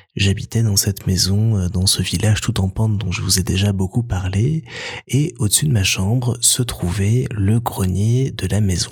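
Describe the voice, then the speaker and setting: A man's fairly low voice in a playful, calm tone, over noticeable background noise. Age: 30s. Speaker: podcast host. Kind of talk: bedtime story telling, warm personal Christmas anecdote told as a gentle tale. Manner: slow, soft and cozy, calm storyteller pacing with wistful warmth; intimate and nostalgic, lightly playful about the little goblins and mice.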